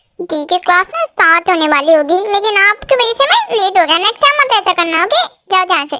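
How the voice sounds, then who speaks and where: A woman uses a put-on character voice with an extremely high pitch and lively intonation. She talks at a very fast pace with hardly any pauses. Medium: fan dub. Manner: pouty, whiny.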